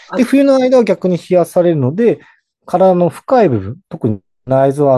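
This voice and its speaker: A man with a dark, mellow tone and a fairly high pitch swings very widely in pitch at a moderate pace, in a dry, close sound with no echo. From Hokkaido, Japan. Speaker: herbal pharmacist. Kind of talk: explanatory interview.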